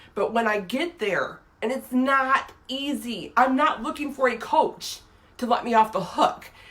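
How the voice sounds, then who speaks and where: Clear background noise runs behind the voice. The talking is fairly slow, with ordinary pitch variation. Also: woman, high pitch for a woman. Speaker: inspirational video blogger. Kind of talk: casual live talk to viewers. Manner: casual, hesitant with repetitions.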